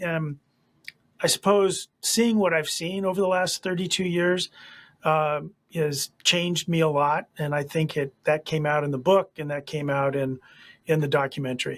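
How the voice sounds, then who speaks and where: The speech comes at a moderate pace with fairly even intonation. The sound is dry and close, with no echo. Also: man. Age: 60s. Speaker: attorney. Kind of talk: interview. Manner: halting, many fillers.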